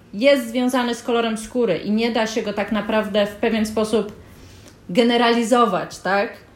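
Speaking at a moderate pace over noticeable background noise, a woman has a high pitch. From Poland. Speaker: podcast co-host. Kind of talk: conversational discussion.

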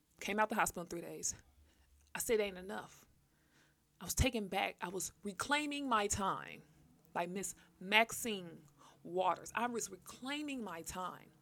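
A woman speaks at a moderate pace with a medium pitch, ordinary pitch variation and long, frequent pauses. Her tone is bright, sharp and animated. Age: 30s. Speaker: podcast host. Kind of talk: casual monologue.

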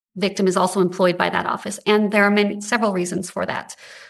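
A woman speaks at a fairly quick pace in an unremarkable speaking voice with medium pitch. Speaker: state appellate attorney. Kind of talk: oral argument before a court. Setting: courtroom.

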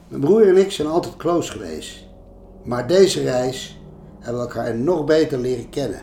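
A man's medium-pitched voice with very wide pitch swings and audible room echo. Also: moderate pace. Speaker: change management consultant and author. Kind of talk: narration of travel stories.

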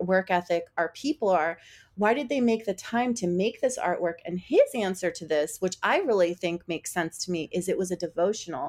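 In a very clean recording with a silent background, a woman with a normal speaking voice talks at a moderate pace, her medium pitch showing ordinary variation. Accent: American. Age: 40s. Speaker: podcast host. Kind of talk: casual interview chat.

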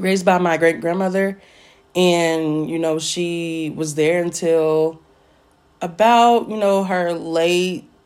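In a normal speaking voice, a woman speaks with fairly even intonation at a fairly low pitch. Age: 20s. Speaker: podcast host. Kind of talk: solo monologue. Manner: casual, laughing often.

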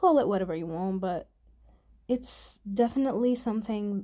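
A woman's dark, mellow tone at a fairly high pitch with ordinary pitch variation. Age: 20s. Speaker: podcaster. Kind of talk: casual solo monologue.

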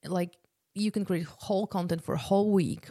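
A woman speaks with a Polish accent, a dark, mellow tone, and ordinary pitch variation. The recording is very clean with a silent background and a dry, close sound with no echo. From Poland. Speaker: podcast host, business consultant and entrepreneur. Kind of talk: solo podcast presentation, casual and promotional. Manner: casual, conversational, uses many filler words.

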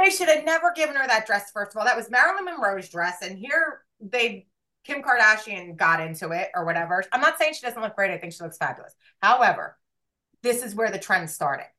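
A woman talks at a fairly quick pace in a fairly high pitch with a bright, sharp tone. Her pitch swings very widely, and her loudness shifts a lot. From New Jersey. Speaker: podcast co-host. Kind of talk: casual chat.

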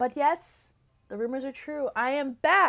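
A woman's high-pitched mumbling in a very clean recording with a silent background. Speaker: podcast host. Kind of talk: casual solo talk. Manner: fast when excited.

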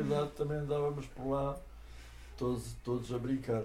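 Somewhat breathy, a man talks at a moderate pace with medium pitch. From Portugal, Lisbon. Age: 80s+. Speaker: retired architect. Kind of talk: oral history interview. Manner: halting, with repetitions.

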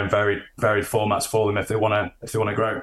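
Against a quiet background, a man with a Yorkshire accent speaks in a fairly low voice. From Sheffield, northern England. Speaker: management consultant. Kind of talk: interview. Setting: remote call.

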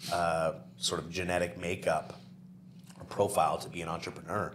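A man with a very deep, low voice over noticeable background noise. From New Brunswick, Canada. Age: 30s. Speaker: property management business owner. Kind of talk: casual interview.

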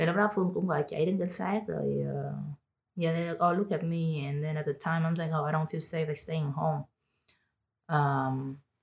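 Fairly quick and somewhat breathy, a woman speaks at a very deep, low pitch with fairly even intonation. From Vietnam, Ho Chi Minh City. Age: 20s. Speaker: podcast guest. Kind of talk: casual chat. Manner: code-switching Vietnamese and English.

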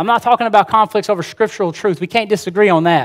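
A man speaks at a very fast pace with an Alabama accent, his pitch high and its variation ordinary. The recording is very clean with a silent background, and the sound is dry and close with no echo. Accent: Southern US (Alabama). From US South, rural Alabama. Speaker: preacher. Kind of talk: sermon. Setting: church with congregation.

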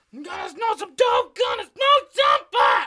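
Shouting in a put-on character voice at an extremely high pitch, the speaker keeps a moderate pace. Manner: ragged, rock shout.

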